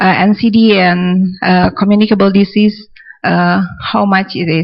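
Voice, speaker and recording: A woman speaks with an Indonesian accent at a medium pitch. Her pace is very slow and her intonation fairly even. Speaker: audience member asking questions. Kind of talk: Q&A question at symposium. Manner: halting, many fillers.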